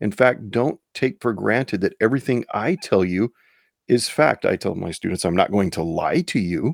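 On a very clean recording with a silent background and a dry, close sound with no echo, a man with an ordinary speaking voice talks at a medium pitch and a moderate pace with lively intonation. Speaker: high school teacher and podcaster. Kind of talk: solo conservative commentary podcast.

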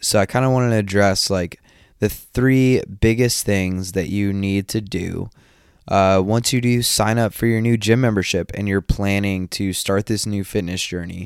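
On a very clean recording with a silent background, a man with an American accent speaks at a moderate pace in a fairly low voice with fairly even intonation. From US South, northeast Georgia. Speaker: podcast host, fitness coach. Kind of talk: casual monologue.

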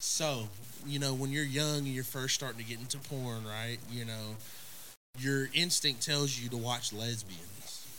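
Speaking fairly slowly with an Oklahoma accent, a man of medium pitch has a bright, sharp tone and ordinary pitch variation, with audible room echo. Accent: Oklahoma rural Southern US. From Oklahoma, US (small town Tipton). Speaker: podcast guest. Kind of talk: casual chat.

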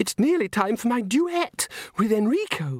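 In a put-on character voice, the speaker whispers and hisses at a moderate pace. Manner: hissed, urgent whisper.

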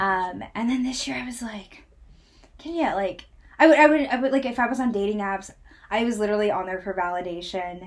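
A woman talks at a fairly quick pace with a fairly high pitch. Her intonation is lively and her tone animated. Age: 20s. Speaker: podcast host. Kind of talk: casual chat.

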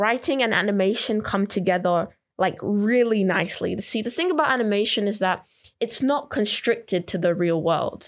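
A woman in a normal speaking voice at a medium pitch, with ordinary pitch variation, very even loudness and a moderate pace. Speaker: college student. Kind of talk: casual chat.

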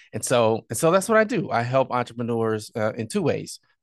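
Over a quiet background, a man with a plain, everyday voice talks at a moderate pace and medium pitch, the sound dry and close with no echo. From southern Illinois, small town. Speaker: entrepreneur and podcaster. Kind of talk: interview conversation.

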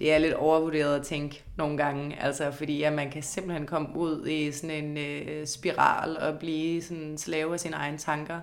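A woman's very deep, low voice at a fairly slow pace, with audible room echo. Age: 20s. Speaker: law student. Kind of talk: interview. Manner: hesitant, many fillers.

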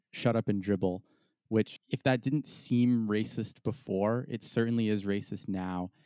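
A fairly low-pitched man with an American accent, dark and mellow in tone, in a dry, close sound with no echo. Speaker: soccer podcast co-host. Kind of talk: casual sports chat.

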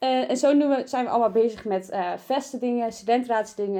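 A woman's dark, mellow, fairly high-pitched voice with lively intonation at a moderate pace. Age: 20s. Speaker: student council member, podcast co-host. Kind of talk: casual chat. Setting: studio.

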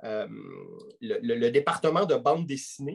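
Somewhat breathy and with lively intonation, a man speaks at a very slow pace. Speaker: podcast host. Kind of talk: interview.

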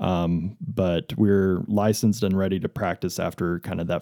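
A man with a West Texas accent speaks in a very deep, low pitch with a dark, mellow tone. His pitch varies in an ordinary way, and the sound is dry and close with no echo. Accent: West Texas American. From Texas, Amarillo. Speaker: optometrist. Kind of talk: interview, explaining eye care. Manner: casual, many fillers.

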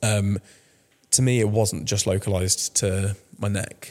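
A man in a southern English accent, monotone and flat, at a fairly low pitch and a fairly slow pace. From France, then England from 2005. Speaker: cancer survivor. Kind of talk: casual interview. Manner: hesitant, many fillers.

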